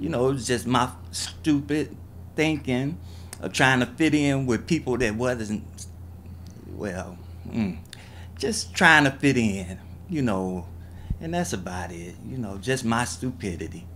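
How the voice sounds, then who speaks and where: With an American accent, a man speaks at a fairly slow pace with lively intonation and long, frequent pauses over light background noise. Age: 50s. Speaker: person recounting drug addiction. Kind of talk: testimony. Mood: candid, reflective, self-critical.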